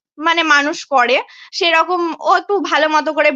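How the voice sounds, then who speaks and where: A woman projects a raised voice with a bright, sharp tone and a high pitch. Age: 20s. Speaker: social media creator. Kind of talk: live video chat, personal testimony.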